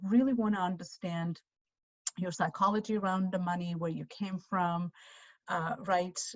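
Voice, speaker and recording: Somewhat breathy speech with fairly even intonation. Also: woman. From Armenia. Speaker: financial adviser. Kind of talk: webinar presentation.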